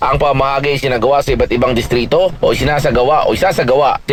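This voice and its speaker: A man with a fairly high pitch, amid noticeable background noise. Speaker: radio news reporter. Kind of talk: radio news report.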